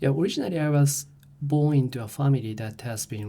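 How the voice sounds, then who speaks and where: A man with a Japanese accent speaks in a somewhat breathy voice with a dark, mellow tone. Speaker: professor. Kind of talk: interview. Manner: halting.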